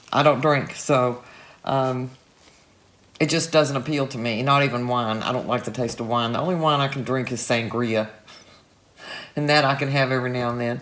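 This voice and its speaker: A woman with a very deep, low pitch talks in a relaxed tone at a moderate pace, her intonation fairly even. She leaves long, frequent pauses, and background noise is noticeable. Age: 60s. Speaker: art tutorial youtuber. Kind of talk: casual video commentary. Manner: relaxed, chatty.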